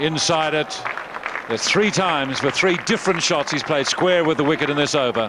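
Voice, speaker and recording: A man speaks at a fairly quick pace in a fairly high pitch, with ordinary pitch variation and very even loudness. Crowd noise sounds in the background. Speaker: cricket commentator. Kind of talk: live cricket commentary. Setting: commentary box at cricket ground. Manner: admiring, descriptive, clipped phrases.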